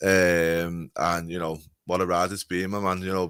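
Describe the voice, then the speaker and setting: A man with a Scouse accent speaks at a very deep, low pitch in a monotone, flat intonation on a very clean recording with a silent background. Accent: Scouse (Liverpool) English. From Liverpool, northern England. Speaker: wrestling podcaster. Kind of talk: casual chat.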